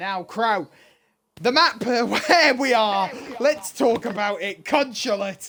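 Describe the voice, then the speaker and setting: A man with a Birmingham accent uses a raised, projected voice at a fairly slow pace, with a high pitch and ordinary pitch variation. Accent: loud Birmingham (Brummie). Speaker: esports caster. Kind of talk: live commentary. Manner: loud.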